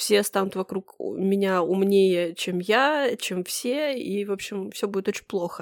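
Recorded very cleanly against a silent background with a dry, close sound and no echo, a woman speaks at medium pitch and a very slow pace. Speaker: podcast co-host. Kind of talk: casual chat.

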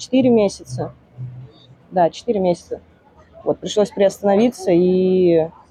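A woman's medium-pitched voice at a fairly slow pace, with ordinary pitch variation, long, frequent pauses, and music in the background. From Siberia, Russia (Tomsk region). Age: 20s. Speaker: bartender. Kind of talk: casual interview. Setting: bar expo venue.

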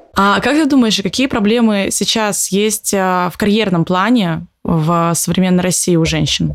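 A woman's medium-pitched voice at a fairly slow pace, with ordinary pitch variation, very even loudness and hardly any pauses. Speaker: entrepreneur and business coach, co-host. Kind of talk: casual interview. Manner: casual, animated.

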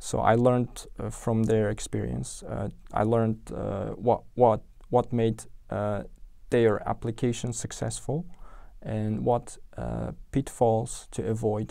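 A man with an Uzbek accent speaks at a very slow pace, with long, frequent pauses. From Uzbekistan, Tashkent. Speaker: software engineer. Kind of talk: interview. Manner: halting, many repetitions and fillers.

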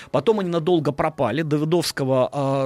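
A plain, everyday voice at a fairly quick pace, with ordinary pitch variation and a dry, close sound free of echo. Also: man. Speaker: historian. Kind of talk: storytelling on radio. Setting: studio.

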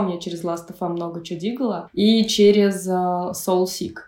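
A woman talks at a moderate pace with fairly even intonation. Hers is an ordinary speaking voice. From Russia, Pskov region. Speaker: electronic musician. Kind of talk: casual chat.

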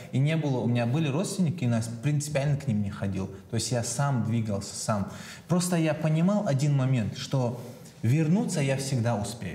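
A man talks at a moderate pace with medium pitch and lively intonation. Noticeable background noise and audible room echo are present. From Chechnya. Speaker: entrepreneur, personal brand marketer. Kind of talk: casual chat.

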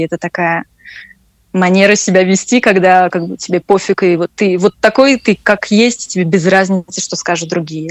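This woman talks at a moderate pace in a medium pitch, her intonation fairly even. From Russia. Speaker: French teacher. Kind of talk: interview conversation. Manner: hesitant, with repetitions.

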